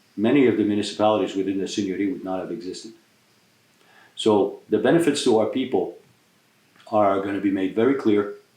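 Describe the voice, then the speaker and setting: A man at a fairly low pitch and very fast pace, with long, frequent pauses, ordinary pitch variation and audible room echo. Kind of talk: community address and interview. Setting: in a private home.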